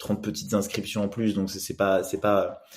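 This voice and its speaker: A man's dark, mellow tone at a fairly low pitch. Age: 30s. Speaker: growth hacking trainer, solo entrepreneur. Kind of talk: podcast interview. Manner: hesitant, many fillers.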